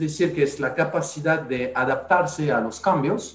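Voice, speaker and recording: Amid audible room echo, a man with a fairly high pitch speaks at a fairly slow pace. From France. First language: French (speaking Spanish). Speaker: podcast host and resilience consultant. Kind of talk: casual panel discussion.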